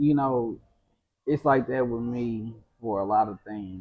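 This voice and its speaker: The speaker is a man with an American accent. He talks at a medium pitch. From US Midwest (Indianapolis, east side). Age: 30s. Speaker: entrepreneur. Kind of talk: casual interview. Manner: animated.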